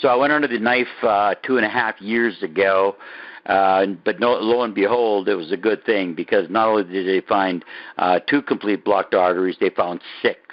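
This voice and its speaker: A man's fairly low voice with ordinary pitch variation, a moderate pace and very even loudness. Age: 60s. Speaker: testimonial speaker on a wellness call. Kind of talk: personal testimony. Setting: conference call. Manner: halting with many fillers.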